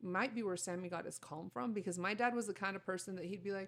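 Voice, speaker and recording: A woman speaks in a Spanish accent at a fairly quick pace. Her pitch varies in an ordinary way. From US, Mexican-American family. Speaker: podcast co-host. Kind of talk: casual chat. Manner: loud at times.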